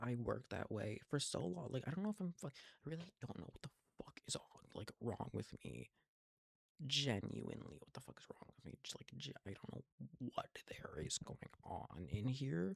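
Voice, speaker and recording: Whispering, a man pauses long and often while his loudness swings widely. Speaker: vlogger. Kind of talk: casual monologue. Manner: fast; halting, repetitive stammering.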